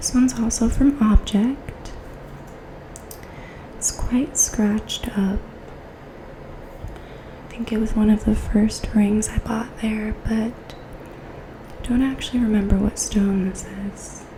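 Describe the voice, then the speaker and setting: A woman whispers at a very slow pace with long, frequent pauses and big swings in loudness. Noticeable background noise can be heard. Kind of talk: ASMR show and tell. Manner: soft-spoken.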